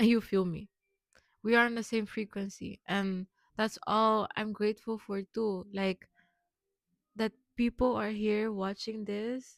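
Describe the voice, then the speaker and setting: Here a woman talks with a Curaçao accent at a fairly slow pace. Her intonation stays monotone and flat. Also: dry, close sound with no echo. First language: Papiamento. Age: 20s. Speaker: vlogger. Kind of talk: personal vlog monologue.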